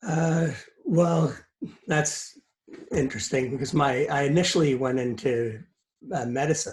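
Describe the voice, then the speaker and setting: The man's voice is somewhat breathy and fairly high in pitch. He talks at a fairly slow pace with long, frequent pauses. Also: ordinary pitch variation. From Scotland, Edinburgh; raised in Canada from early 70s. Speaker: lawyer, business network president. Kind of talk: interview. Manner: hesitant, many fillers.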